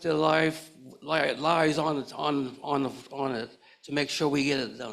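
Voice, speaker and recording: Vocal fry marks this man's fairly high-pitched voice. He speaks at a fairly slow pace. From Nova Scotia, Canada. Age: 80s+. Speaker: community elder and education advocate. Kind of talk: panel discussion. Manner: halting, repetitive.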